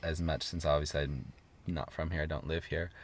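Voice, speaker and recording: Speaking at a fairly quick pace, a man has a West Coast accent. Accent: American West Coast. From US, Seattle. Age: 30s. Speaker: traveling yoga teacher. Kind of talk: casual interview. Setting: in a parked car.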